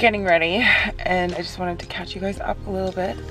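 Clear background music accompanies a woman speaking at a fairly quick pace, the sound dry with no echo. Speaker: vlogger. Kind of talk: casual vlog chat. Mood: cheerful, smiling. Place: car. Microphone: phone near.

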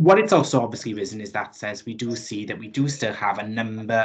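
Faint music plays in the background as a man with a fairly low pitch talks at a fairly quick pace. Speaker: council legal officer. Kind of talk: formal meeting report. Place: home room. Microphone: video call.

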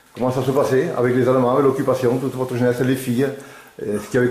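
A man's monotone, flat delivery with audible room echo. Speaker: interviewer and filmmaker. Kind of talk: interviewer questions. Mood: warm, relaxed. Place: home room.

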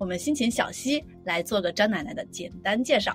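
A woman's fairly high voice at a moderate pace, lively in intonation, with music in the background. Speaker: podcast host. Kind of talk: podcast interview question.

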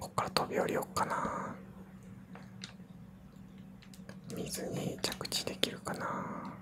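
The voice is soft-spoken, whispering along at a very slow pace. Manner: soft ASMR whisper while gaming.

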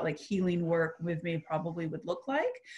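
The setting is quiet. A female speaker moves at a fairly quick tempo, and her pitch varies in an ordinary way. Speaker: metaphysical minister and hypnotist. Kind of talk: casual chat. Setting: video call. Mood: earnest, reflective personal sharing. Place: home room. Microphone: video call.

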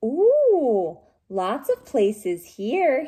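A woman speaks in a high, croaky, put-on character voice.

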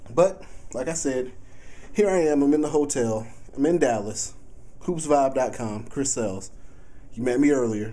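Speaking in an American accent, a man with a medium pitch and ordinary pitch variation keeps a moderate pace, broken by long, frequent pauses. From Texas. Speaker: sports blogger / video reporter. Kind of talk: casual video blog. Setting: in a car, then hotel room; hotel room. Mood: relaxed, joking. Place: home room. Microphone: phone near.

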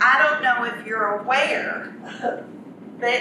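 A woman's high-pitched voice with audible room echo and noticeable background noise. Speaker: speaker. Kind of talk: humorous storytelling talk. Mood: humorous. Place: meeting room. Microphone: camera far.

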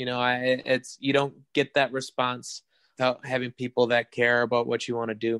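At a moderate pace, a man with an Upper Midwest accent talks at medium pitch in a flat monotone, the sound dry and close with no echo. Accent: Upper Midwest American. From western Wisconsin, rural. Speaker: musician in a band. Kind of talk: interview.

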